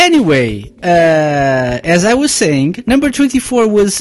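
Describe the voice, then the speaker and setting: Over noticeable background noise, a woman speaks at a fairly low pitch with very wide pitch swings and an upbeat, enthusiastic tone. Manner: relaxed, chatty and friendly, with filler 'uh's, laughs and unscripted asides; upbeat, enthusiastic, with a cheerful show-host tone.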